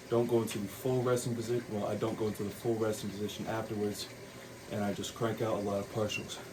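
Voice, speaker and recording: Amid noticeable background noise and audible room echo, a man speaks fairly quickly in a fairly low, monotone, flat voice. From Puerto Rican heritage. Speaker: fitness vlogger. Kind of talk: casual workout vlog.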